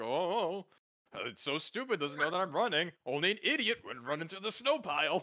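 Moderate pacing in a put-on character voice. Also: man, high pitch for a man. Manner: gloating, mocking.

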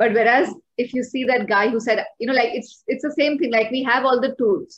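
In a quiet background, a woman with an Indian accent speaks at a moderate pace in a high pitch. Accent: Indian English, code-switching with Hindi. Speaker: guest, coach on self-improvement. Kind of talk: podcast interview explanation. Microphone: video call.

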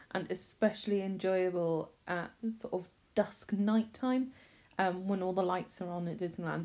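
A woman with a Bristolian accent speaks at a moderate pace and medium pitch, her tone dark and mellow and her intonation fairly even. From Bristol, England. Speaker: theme park reviewer. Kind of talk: casual talk to camera. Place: waterside. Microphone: phone near.

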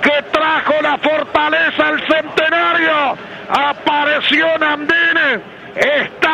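Over crowd noise, a man with an extremely high pitch uses a raised, projected voice at a very slow pace, his intonation monotone and flat. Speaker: football match commentator. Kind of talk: live commentary. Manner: drawn-out goal calls. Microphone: handheld.

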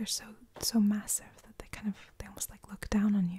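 A soft-spoken voice with a calm tone. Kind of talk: casual soft-spoken chat. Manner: soft-spoken, calm ASMR narration. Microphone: phone near.

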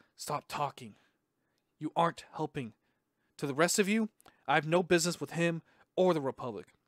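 A man puts on a raspy character voice, fairly high-pitched, talking at a fairly quick pace with long, frequent pauses, in a dry, close sound with no echo. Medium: read story. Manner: unenthusiastic, terse.

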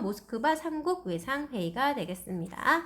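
A woman with a high pitch speaks at a moderate pace, her voice making very wide pitch swings. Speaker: teacher. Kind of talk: lecture.

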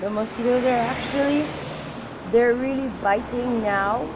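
This woman has a high voice with ordinary pitch variation. She talks at a fairly slow pace over noticeable background noise. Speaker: vlogger. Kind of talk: casual vlog chat. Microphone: phone near.

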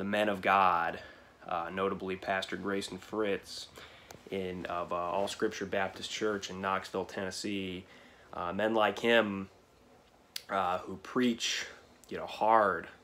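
A man's fairly low voice, bright and sharp in tone, flat and monotone, at a fairly slow pace with long, frequent pauses, over light background noise. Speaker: vlogger. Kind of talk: casual vlog chat. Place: home room. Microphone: phone near.

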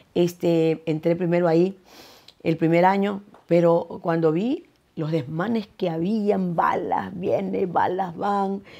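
A woman speaks at a very slow pace with a dark, mellow tone, fairly low pitch and fairly even intonation, over a quiet background. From Ecuador (Guayaquil). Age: 70s. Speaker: singer; interviewee. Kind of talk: interview. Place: home room.

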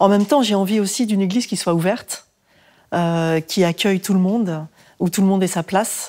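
With very even loudness and ordinary pitch variation, a woman speaks in a dark, mellow tone. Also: fairly quick pace, quiet background. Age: 40s. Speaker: parish volunteer. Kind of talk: casual chat. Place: home room.

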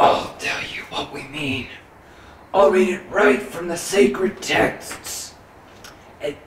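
A man's put-on character voice, raspy and high-pitched, smug and menacing in tone, very slow with long, frequent pauses and a slight echo. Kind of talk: mock-ominous villain speech. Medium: comedy sketch. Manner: smug, menacing.

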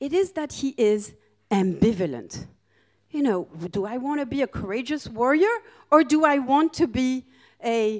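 Against a quiet background, a woman speaks at a fairly slow pace with a high pitch and very wide pitch swings. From France and Greece. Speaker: professor of international relations. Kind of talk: lecture. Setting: stage with audience. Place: hall. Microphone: handheld.

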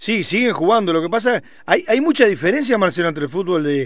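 The pace is very fast. A man speaks with very wide pitch swings. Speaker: radio host. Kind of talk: interview.

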